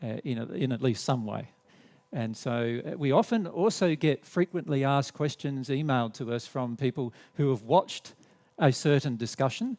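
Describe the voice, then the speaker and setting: With an Australian accent, a man speaks at a moderate pace and medium pitch, his intonation lively. The sound is dry and close, with no echo. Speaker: spiritual teacher. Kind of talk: seminar presentation. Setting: hall with live audience, recorded on camera. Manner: drops the endings off words; halting, many fillers and restarts.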